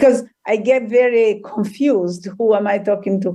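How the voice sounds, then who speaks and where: A woman speaks in a dark, mellow tone. Her pace is fairly slow. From Tanzania. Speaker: trauma healer and author. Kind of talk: interview. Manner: halting.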